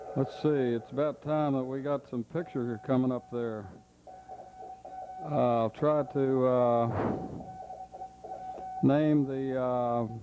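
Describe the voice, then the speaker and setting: A man at a medium pitch and fairly slow pace, with noticeable background noise. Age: old. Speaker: amateur radio operator. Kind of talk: unrehearsed home film narration. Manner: casual, hesitant.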